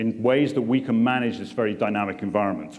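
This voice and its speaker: A man with a British accent and a medium-pitched voice talks at a moderate pace. Room echo can be heard. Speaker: port chief executive. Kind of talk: keynote speech. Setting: conference room with audience.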